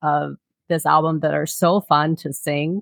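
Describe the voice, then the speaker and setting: A woman's fairly low-pitched, normal speaking voice at a fairly slow pace. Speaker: podcast host. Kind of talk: casual chat.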